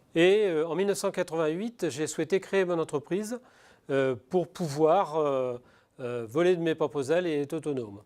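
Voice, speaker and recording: This very clean recording, with a silent background, captures a man whose pitch is fairly high, with ordinary pitch variation, delivered at a moderate pace. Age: 60s. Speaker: business owner. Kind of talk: testimony. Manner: halting, many hesitations.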